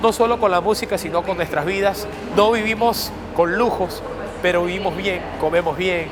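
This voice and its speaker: Here a man speaks at a high pitch and a moderate pace, with fairly even intonation. The clip has noticeable background noise and audible room echo. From Venezuela, Maripa. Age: 20s. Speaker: musician. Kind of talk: documentary interview.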